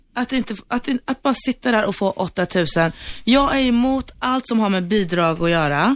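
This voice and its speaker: With an unremarkable speaking voice, a woman talks at a fairly high pitch with lively intonation and very even loudness on a very clean recording with a silent background. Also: moderate pace. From Sweden, Turkish family. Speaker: bar owner. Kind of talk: studio debate. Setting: radio studio.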